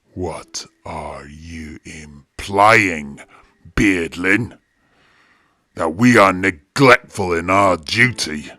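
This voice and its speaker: A man's put-on character voice, raspy and very deep, at a very slow pace. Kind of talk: audio drama storytelling.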